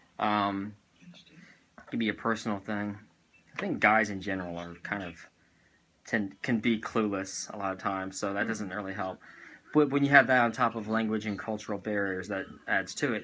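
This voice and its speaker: A man with an American accent speaks at a moderate pace in a fairly low pitch with a bright, sharp tone. His intonation is fairly even, his loudness swings widely, and he takes long, frequent pauses. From US South, Tennessee. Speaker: vlogger. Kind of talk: casual chat.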